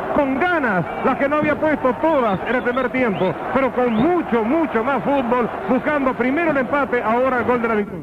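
A man's extremely high-pitched voice with ordinary pitch variation, over noticeable background noise. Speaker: radio football analyst. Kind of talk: live radio match analysis.

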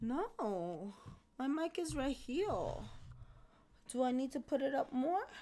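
The voice is dark and mellow, with very wide pitch swings. Delivery is very slow, broken by long, frequent pauses. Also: woman, high pitch for a woman. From Mexico. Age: 20s. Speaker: gaming streamer; game streamer. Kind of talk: casual chat. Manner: loud. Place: home room.

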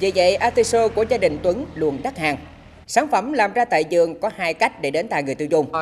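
A woman with a medium pitch talks at a fairly quick pace. Her pitch swings very widely. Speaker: voiceover reporter. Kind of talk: news reading.

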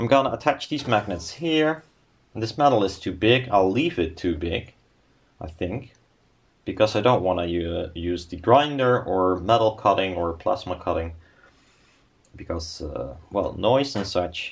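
A man talks at a fairly slow pace in a fairly low pitch. His voice is somewhat breathy. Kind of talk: casual build commentary. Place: workshop. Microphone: camera far.

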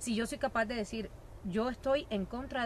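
Light background noise sits behind a woman speaking at a moderate pace in a dry recording with no echo. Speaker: guest. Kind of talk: interview answer. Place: garden.

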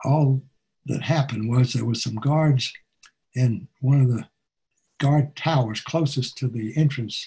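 Speaking with an American accent, a man talks at a fairly slow pace in a somewhat breathy voice with a dark, mellow tone. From United States. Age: 80s+. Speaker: war veteran. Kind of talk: talk presentation over video call. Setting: video call. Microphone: webcam.

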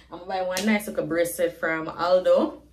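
A woman's fairly slow speech amid noticeable background noise. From Jamaica. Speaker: vlogger. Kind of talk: casual vlog.

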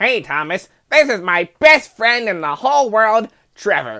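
In a put-on character voice with fairly high pitch, the speaker goes at a moderate pace on a very clean recording with a silent background. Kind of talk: earnest straight man in a comedy dub. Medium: fan dub. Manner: warm, reassuring, then defensive.

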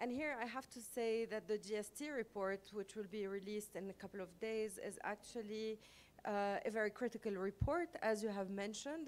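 Ordinary pitch variation from a woman speaking at a moderate pace. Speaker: conference panelist. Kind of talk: opening remarks at panel. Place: hall. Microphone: podium.

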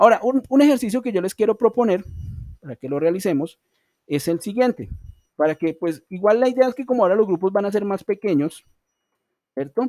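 Speaking at a fairly quick pace with long, frequent pauses, a man uses a high pitch and lively intonation, his tone dark and mellow, the sound dry with no echo over a quiet background. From Colombia. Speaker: online English teacher. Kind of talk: online class lecture. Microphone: video call.

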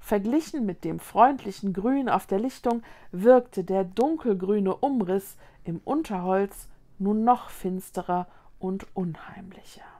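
At a very slow pace, a woman speaks in a dark, mellow tone with ordinary pitch variation. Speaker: children's book reader. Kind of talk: suspenseful narration of a fantasy children's story. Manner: dramatic, tense. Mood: calm, storytelling tone. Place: home room.

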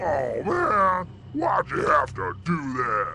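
Using a cartoonish character voice with a bright, sharp tone and vocal fry, a man speaks slowly at a fairly high pitch, swinging very widely in pitch over faint background noise.

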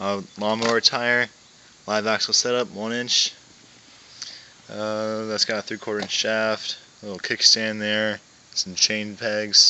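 A man talks slowly in a fairly low, monotone, flat voice with long, frequent pauses. Light background noise runs underneath. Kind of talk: casual show-and-tell walkaround. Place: street. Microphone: phone near.

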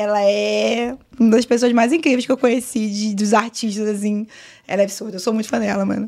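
A woman talks at a fairly quick pace in a fairly high pitch, keeping her intonation fairly even. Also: quiet background. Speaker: GTA RP streamer and server administrator; GTA RP streamer. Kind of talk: casual podcast interview. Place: studio. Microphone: studio mic.

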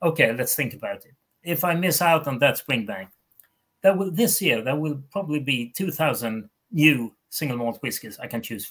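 Against a quiet background, a man talks at a moderate pace with a Swedish accent, his pitch swinging very widely and his loudness rising and falling sharply. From Sweden. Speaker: whisky author; guest. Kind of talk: casual chat. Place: home room.

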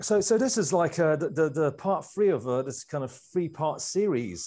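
A man's somewhat breathy voice, its pitch swinging very widely. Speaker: speaker. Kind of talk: lecture. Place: home room. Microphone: lapel.

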